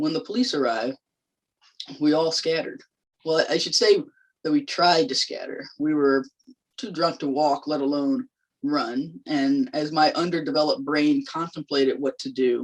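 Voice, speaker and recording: A woman with a Southern US accent speaks at a moderate pace, her very deep, low voice moving through very wide pitch swings. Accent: Southern US, slips out at times. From US South, North Carolina. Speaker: labor organizer. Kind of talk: public lecture. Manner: conversational, with fillers.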